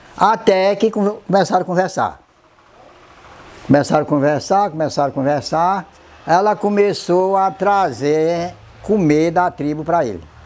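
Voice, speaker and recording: A man talks in a high voice at a fairly slow pace. He uses ordinary pitch variation and takes long, frequent pauses. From Ceará coast, Brazil (Trairi). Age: 70s. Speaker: traditional culture master, storyteller. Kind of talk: oral history storytelling interview.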